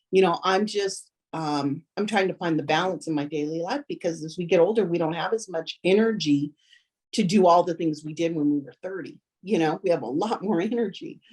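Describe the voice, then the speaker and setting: This woman has an unremarkable speaking voice, fairly low in pitch with ordinary pitch variation. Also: fairly quick pace. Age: 60s. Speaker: family member, mother. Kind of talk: casual chat.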